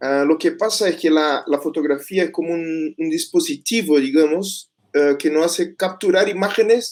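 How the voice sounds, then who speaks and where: A man with a Portuguese accent speaks at a fairly slow pace. The recording is very clean, with a silent background. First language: Portuguese (speaking Spanish). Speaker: master's student researcher. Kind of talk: conference presentation. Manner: halting.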